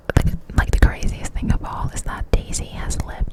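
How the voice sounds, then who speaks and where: Noticeable background noise around a woman's whisper. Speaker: ASMR creator. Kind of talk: ASMR whisper ramble. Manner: whispered, close to the mic.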